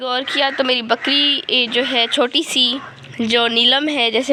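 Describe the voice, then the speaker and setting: A woman with a high pitch and fairly even intonation speaks over noticeable background noise. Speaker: home vlogger. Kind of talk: casual vlog narration. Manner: casual, halting with fillers.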